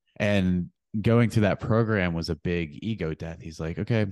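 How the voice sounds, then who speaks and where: Moderately paced speech from a man with an American accent and a very deep, low pitch, ordinary in pitch variation, dry and close with no echo against a quiet background. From central Pennsylvania. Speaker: personal trainer and men's coach. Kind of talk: casual interview.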